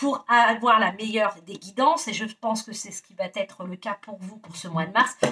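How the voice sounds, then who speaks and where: At a fairly high pitch, a woman speaks at a moderate pace with ordinary pitch variation, in an unremarkable speaking voice. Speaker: tarot card reader. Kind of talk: tarot reading monologue.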